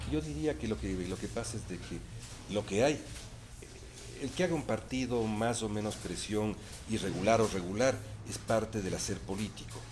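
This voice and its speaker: Speaking at a moderate pace with long, frequent pauses, a man uses lively intonation at a fairly low pitch. There is audible room echo. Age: 60s. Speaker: electoral council member. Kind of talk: interview.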